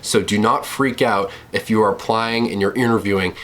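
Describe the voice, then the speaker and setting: Speaking at a fairly quick pace in a monotone, flat delivery, the voice comes through over noticeable background noise. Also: man. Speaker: lifeguarding video creator. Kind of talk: casual tutorial vlog.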